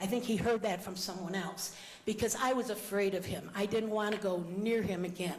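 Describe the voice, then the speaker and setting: With noticeable background noise behind her, a woman talks at a fairly quick pace. Her pitch is medium and her intonation fairly even. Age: 60s. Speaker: protest arrestee. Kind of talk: public comment at city council meeting. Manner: hesitant, hurried.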